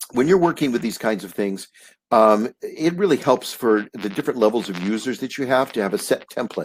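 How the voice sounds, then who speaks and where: With lively intonation and a fairly quick pace, a man talks at medium pitch. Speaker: print industry consultant. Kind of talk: webinar presentation. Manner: fast; animated.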